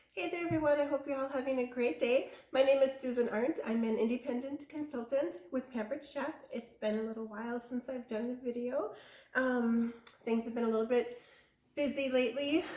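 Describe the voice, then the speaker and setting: A woman talks at a fairly quick pace in a high pitch. Her intonation is fairly even, with noticeable background noise. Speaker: cooking channel host and sales consultant. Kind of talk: cooking tutorial. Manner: casual, with many fillers.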